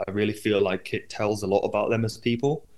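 With a normal speaking voice, a man talks fairly quickly at a fairly low pitch and with fairly even intonation. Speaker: radio DJ. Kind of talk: casual chat.

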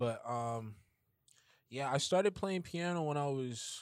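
A man with a New York accent talks at a fairly slow pace. His intonation is lively, and the recording is very clean with a silent background. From Bronx, New York. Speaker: pianist. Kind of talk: casual chat.

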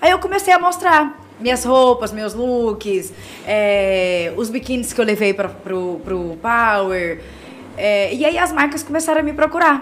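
A woman with a fairly high pitch and very wide pitch swings speaks at a fairly slow pace amid noticeable background noise. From Goiás, Brazil. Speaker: model and digital influencer. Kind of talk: casual interview. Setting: studio.

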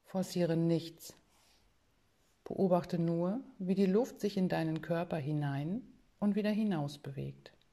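A woman's fairly low voice with a dark, mellow tone, at a very slow pace with long, frequent pauses and ordinary pitch variation. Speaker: podcast host and meditation guide. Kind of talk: guided meditation; casual podcast monologue. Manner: slow, calm, soothing, gently paced with pauses.

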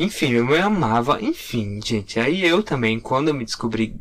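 Here a man speaks at a moderate pace in a medium pitch. He has a plain, everyday voice. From Curitiba, Brazil. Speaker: podcast co-host, graphic designer. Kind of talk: casual chat.

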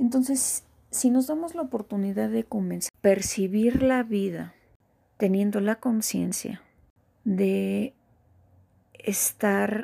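A woman speaks at a very slow pace with a dark, mellow tone. Her voice is somewhat breathy, with ordinary pitch variation. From Mexico. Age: 30s. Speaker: podcast host. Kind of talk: personal reflective monologue.

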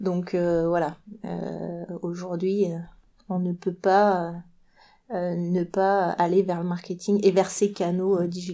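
Over a very clean recording with a silent background, a woman at a medium pitch speaks at a very slow pace with a dark, mellow tone and monotone, flat intonation. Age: 40s. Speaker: marketing agency director. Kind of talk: interview.

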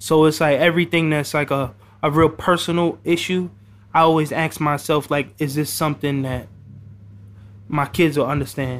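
At a moderate pace, a man with an American accent speaks at a fairly high pitch with fairly even intonation. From New York, the Bronx. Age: 20s. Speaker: rapper. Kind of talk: casual interview.

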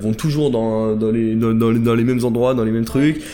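A man is speaking. His voice has ordinary pitch variation. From France, Savoie (Chambéry). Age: 20s. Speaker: entrepreneur and online trainer. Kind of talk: casual interview. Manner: hesitant, many repetitions.

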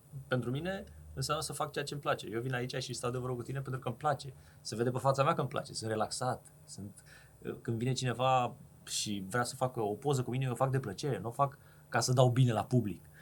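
The speaker talks very fast with a somewhat breathy sound and ordinary pitch variation. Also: man, medium pitch for a man. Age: 30s. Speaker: podcast host and entrepreneur. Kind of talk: casual chat.

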